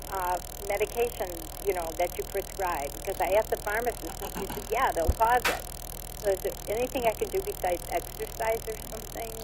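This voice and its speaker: A woman speaks fairly quickly while noticeable noise carries on behind her. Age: 70s. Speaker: caller. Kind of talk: phone-in question.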